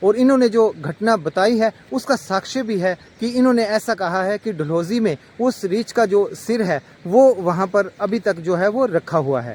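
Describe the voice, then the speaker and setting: In a dry, close sound with no echo, a man with a high voice talks at a moderate pace with lively intonation. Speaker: vlogger. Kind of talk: vlog narration to camera.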